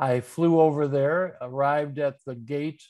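With a Midwestern American accent, a man with a fairly high pitch speaks at a fairly slow pace in a monotone, flat intonation against a quiet background. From US Midwest, Detroit area. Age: 70s. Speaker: undertaker and writer. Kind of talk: interview conversation.

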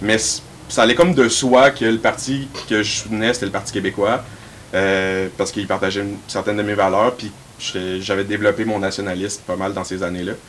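Over noticeable background noise, a man talks at a fairly quick pace with a fairly low pitch and ordinary pitch variation. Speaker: university student and riding assistant. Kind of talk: casual panel discussion.

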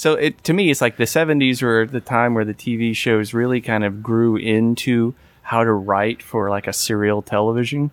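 A man speaks at a moderate pace with fairly even intonation and a medium pitch. He has an unremarkable speaking voice. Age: 40s. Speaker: podcast host. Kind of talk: casual chat.

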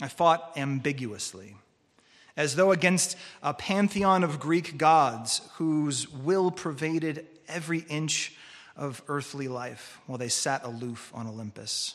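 In a Californian accent, a man speaks at a fairly slow pace. His pitch sits fairly high. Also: ordinary pitch variation. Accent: Californian American. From Southern California, Orange County. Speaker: preacher. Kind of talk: sermon.

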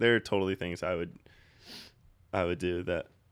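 Nothing is heard in the background of this very clean recording. Delivery moves at a moderate pace. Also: man. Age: 20s. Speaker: podcast co-host. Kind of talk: casual chat. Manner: laughs often.

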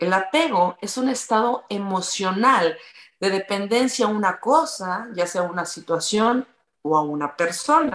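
An unremarkable speaking voice from a woman, medium in pitch, with lively intonation at a fairly slow pace. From Mexico, from Tula. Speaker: radio presenter and yoga teacher. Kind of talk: casual chat.

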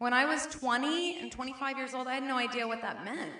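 In a raised, projected voice with high pitch, a woman speaks at a fairly slow pace amid audible room echo. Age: 40s. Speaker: preacher. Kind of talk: sermon. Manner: halting.

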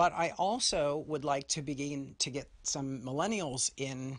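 This man has a plain, everyday voice with fairly high pitch. His pitch variation is ordinary, over a quiet background. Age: 50s. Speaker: podcast host. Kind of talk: solo monologue.

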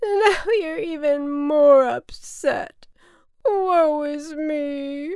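A woman's put-on character voice, high-pitched and slightly mellow, at a very slow pace in a very clean recording with a silent background. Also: ordinary pitch variation.

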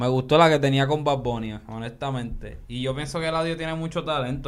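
A man's fairly high-pitched, moderately paced delivery with ordinary pitch variation, a plain, everyday voice. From Puerto Rico, Coamo. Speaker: podcast host. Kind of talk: casual chat.

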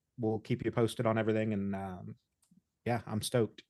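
A man talks very fast, with a quiet background behind him. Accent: American. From Indiana. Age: 30s. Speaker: podcast host. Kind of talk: casual interview. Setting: video call.

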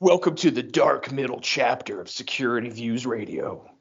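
Here a man puts on a character voice at a medium pitch. His pace is moderate. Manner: dramatic, trailer-like.

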